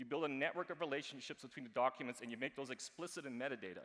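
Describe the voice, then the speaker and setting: At a very fast pace, a man talks with a bright, sharp tone. His pitch is medium, with ordinary pitch variation. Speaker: archivist and blockchain consultant. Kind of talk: conference talk.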